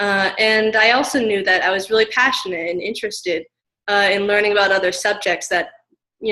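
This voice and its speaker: This woman has a plain, everyday voice with an American accent. She talks fairly quickly at a medium pitch. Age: 20s. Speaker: graduate student. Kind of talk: interview. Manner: many filler words.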